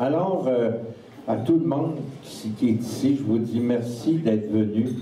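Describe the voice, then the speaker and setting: A man speaks very slowly in a Quebec accent, with ordinary pitch variation. Audible room echo and noticeable background noise are present. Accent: Québécois French. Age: 70s. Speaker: snowmobile club leader. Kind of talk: speech at a banquet. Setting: banquet hall with audience. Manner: informal.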